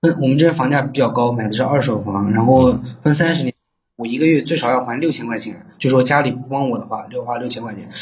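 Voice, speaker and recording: A man talks at a very fast pace, his medium pitch moving with ordinary variation. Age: 20s. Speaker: caller seeking advice, online salesman. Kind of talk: phone-in advice call. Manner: halting.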